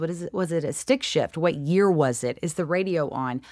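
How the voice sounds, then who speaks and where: A woman with a slight Southern US accent, moderate pace and ordinary pitch variation, on a very clean recording with a silent background. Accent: mild Southern US. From US South. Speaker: actress. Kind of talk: casual interview. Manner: laughs often.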